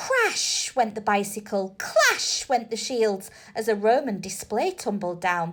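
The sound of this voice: An unforced reading voice and nothing else.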